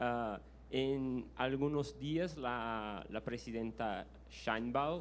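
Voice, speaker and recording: With a Brazilian accent, a man speaks at a very slow pace amid audible room echo. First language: Portuguese (speaking Spanish). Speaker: audience member asking a question. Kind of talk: Q&A question at a lecture. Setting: university auditorium. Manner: halting, many fillers and restarts.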